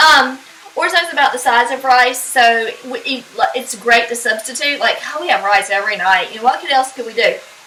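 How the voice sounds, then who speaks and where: Noticeable background noise sits behind a woman with a high pitch who speaks at a fairly quick pace, using ordinary pitch variation and big swings in loudness. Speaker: home cook. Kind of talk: cooking tutorial. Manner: casual, chatty.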